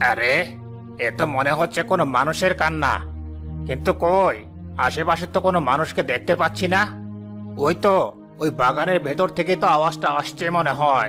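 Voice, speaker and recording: A man's cartoonish character voice with clear music in the background. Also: fairly high pitch for a man, moderate pace. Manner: firm, authoritative.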